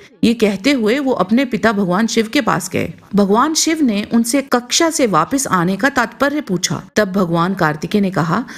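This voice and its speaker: A woman's fairly high, somewhat breathy voice keeps very even loudness and hardly any pauses. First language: Punjabi (speaking Hindi). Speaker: channel narrator. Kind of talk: scripted narration.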